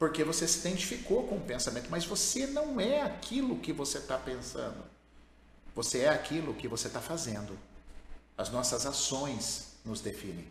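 Over noticeable background noise and audible room echo, a man with a fairly high pitch talks at a moderate pace, his pitch swinging very widely. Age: 50s. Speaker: therapist and course creator. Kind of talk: live advice session reading listener letters.

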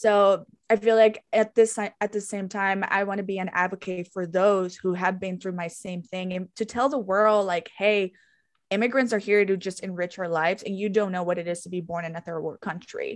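Over a quiet background, a woman with a Spanish accent talks at a moderate pace and medium pitch, with fairly even intonation and big swings in loudness. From Guatemala. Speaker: podcast host and holistic interior designer. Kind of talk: casual chat.

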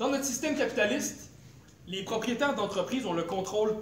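A man talks with lively intonation at a high pitch and a moderate pace. Noticeable background noise and audible room echo surround him. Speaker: political activist speaker. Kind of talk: lecture.

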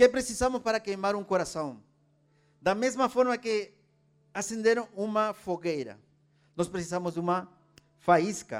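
A man with a Spanish accent speaks fairly slowly, with long, frequent pauses. His pitch is high, with ordinary pitch variation. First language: Spanish (speaking Portuguese). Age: 40s. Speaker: preacher. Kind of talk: sermon.

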